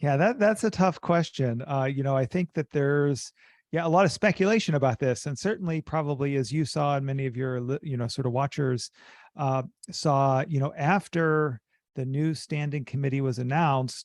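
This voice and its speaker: Here is a man with a normal speaking voice and an American accent, pitched fairly high for a man, with ordinary pitch variation at a moderate pace. The sound is dry and close with no echo, over a quiet background. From US. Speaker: business school professor. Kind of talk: interview.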